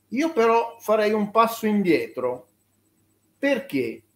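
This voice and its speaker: Speaking at a very slow pace, a man lets his pitch swing very widely. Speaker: journalist. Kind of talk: interview. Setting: video call. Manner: halting.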